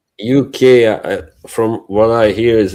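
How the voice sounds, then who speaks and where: In a dark, mellow tone, this man speaks with a non-native accent. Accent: noticeable foreign. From Bosnia and Herzegovina. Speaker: livestream co-host. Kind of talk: casual chat. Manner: halting.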